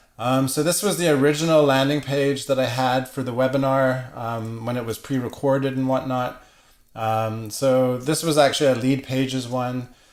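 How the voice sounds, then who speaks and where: A man's medium-pitched, unremarkable speaking voice at a moderate pace, with fairly even intonation. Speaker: web marketing presenter. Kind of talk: webinar presentation. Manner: casual with many fillers.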